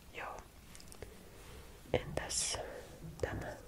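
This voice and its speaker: Over noticeable background noise, a woman whispers in a calm tone. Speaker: ASMR creator. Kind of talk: ASMR follow-my-instructions roleplay. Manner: soft, calm, slow.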